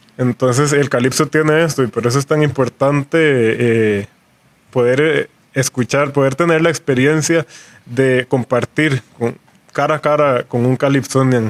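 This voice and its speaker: A man has an unremarkable speaking voice at medium pitch, talking fairly slowly with fairly even intonation and very even loudness in a dry, close sound with no echo. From Costa Rica, San José. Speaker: calypso musician. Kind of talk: radio panel discussion. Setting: studio.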